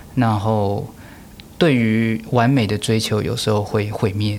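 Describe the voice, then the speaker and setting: A man speaks at a fairly slow pace in a medium pitch, his intonation fairly even. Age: 30s. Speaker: orchestra conductor. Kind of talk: interview.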